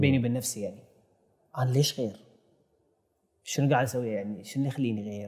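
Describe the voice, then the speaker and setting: With a Bahraini accent, the speaker moves at a fairly quick pace with fairly even intonation. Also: man. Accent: Bahraini Gulf Arabic. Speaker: filmmaker and YouTube content creator; YouTube content creator. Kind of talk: interview conversation. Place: studio. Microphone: lapel.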